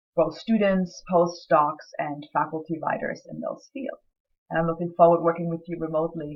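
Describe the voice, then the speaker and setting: A woman's fairly low voice with a German accent, at a moderate pace. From Germany. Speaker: writing center director and lecturer. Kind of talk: recorded course introduction. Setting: self-recorded video. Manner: hesitant, many fillers.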